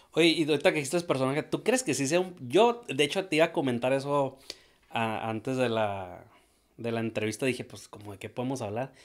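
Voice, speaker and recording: The man has an unremarkable speaking voice, fairly high in pitch, with lively intonation. He moves at a fairly quick pace against a quiet background. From Mexico. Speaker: podcast host. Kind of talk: casual interview. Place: studio. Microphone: studio mic.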